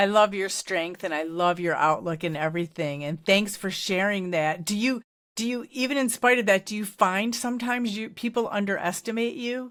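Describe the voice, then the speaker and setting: A woman with an unremarkable speaking voice talks at a moderate pace with hardly any pauses, her medium pitch carried by lively intonation. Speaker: podcast host. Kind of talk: interview.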